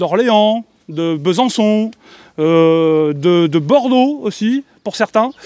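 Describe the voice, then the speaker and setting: Loud speech with very wide pitch swings, in a dry, close sound with no echo. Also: man. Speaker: YouTuber, electric car channel host. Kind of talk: casual presentation to camera with group. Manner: loud, expressive.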